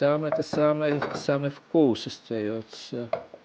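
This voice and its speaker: Here a man talks at a very slow pace. His pitch is fairly high, and his intonation fairly even. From Estonia. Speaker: home cook vlogger. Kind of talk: cooking tutorial. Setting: home kitchen. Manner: halting, with many false starts.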